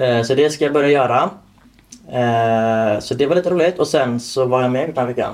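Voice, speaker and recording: An unremarkable speaking voice from a man, medium in pitch, with ordinary pitch variation and a moderate pace. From Torslanda, Gothenburg, Sweden. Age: 20s. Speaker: podcast co-host, home care worker. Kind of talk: casual chat.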